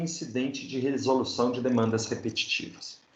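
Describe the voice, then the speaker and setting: A man's voice with audible room echo. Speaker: law professor. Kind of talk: lecture.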